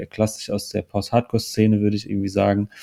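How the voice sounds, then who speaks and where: In a very clean recording with total silence behind him, a man speaks with a dark, mellow tone and a fairly low pitch. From Hunsrück, Germany. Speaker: musician. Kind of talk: casual chat.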